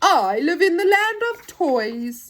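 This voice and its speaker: A woman uses a put-on character voice with an extremely high pitch and very wide pitch swings. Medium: read story.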